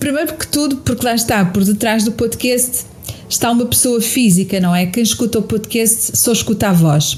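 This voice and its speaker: A woman with a European Portuguese accent talks at a moderate pace over noticeable background noise. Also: fairly high pitch for a woman, ordinary pitch variation. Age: 60s. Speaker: podcast host and therapist. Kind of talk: podcast monologue answering listener questions.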